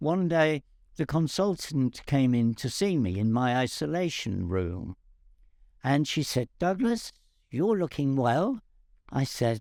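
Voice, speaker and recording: A man with a fairly high voice speaks at a fairly slow pace, his pitch swinging very widely over a dark, mellow tone at very even loudness, in a dry, close sound with no echo on a very clean recording with a silent background. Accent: English. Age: 80s+. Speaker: cancer patient. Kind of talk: personal testimony.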